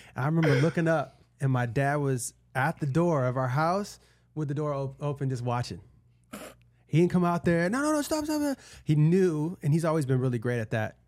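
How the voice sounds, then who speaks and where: In a very clean recording with a silent background, a man with a plain, everyday voice speaks at a fairly high pitch, with ordinary pitch variation and a fairly quick pace. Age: 30s. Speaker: podcast host. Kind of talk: casual chat. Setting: studio.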